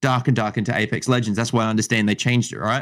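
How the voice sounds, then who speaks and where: A man with an Australian accent. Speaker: gaming content creator and streamer. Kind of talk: casual chat. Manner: halting, many repeated words.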